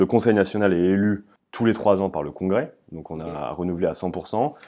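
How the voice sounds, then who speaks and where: Against a quiet background, a man speaks at a moderate pace in a very deep, low voice with a dark, mellow tone. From northern France (Amiens, Picardy). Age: 20s. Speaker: political youth leader. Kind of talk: interview. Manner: hesitant, many fillers.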